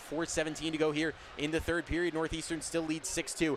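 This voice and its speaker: A man sounds energetic, with a fairly high pitch. He talks at a fairly quick pace. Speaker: play-by-play broadcaster. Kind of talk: live radio sports play-by-play. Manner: fast, energetic.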